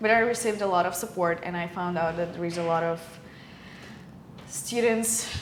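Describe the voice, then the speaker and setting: Through noticeable background noise and audible room echo, a woman with a Ukrainian accent and a fairly low pitch speaks with long, frequent pauses. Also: ordinary pitch variation, fairly quick pace. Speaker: film student, podcast co-host. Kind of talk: casual chat. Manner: halting.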